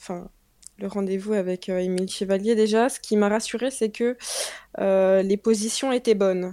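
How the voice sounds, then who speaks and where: A woman with a dark, mellow tone speaks at a medium pitch and moderate pace, her intonation fairly even. She leaves long, frequent pauses, and the recording is very clean with a silent background. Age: 20s. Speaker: young mother sharing breastfeeding experience. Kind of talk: interview testimony.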